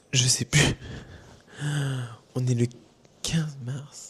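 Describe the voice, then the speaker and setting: This man's intonation is monotone and flat. His voice sits at a medium pitch. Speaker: vlogger. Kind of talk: casual vlog talk. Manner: hesitant, many fillers.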